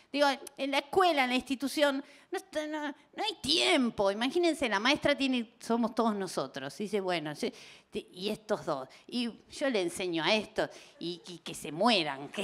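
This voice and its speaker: A woman speaks at a moderate pace with a fairly high pitch and vocal fry. Her pitch swings very widely. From Argentina, Buenos Aires. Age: 40s. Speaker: comedian. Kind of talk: stand-up. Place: stage. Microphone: handheld.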